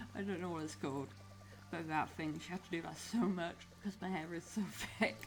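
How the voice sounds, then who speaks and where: This woman speaks with vocal fry at a moderate pace, her pitch fairly low. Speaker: gaming video creator. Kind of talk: casual gaming commentary. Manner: slurred words run together; rambling, hesitant.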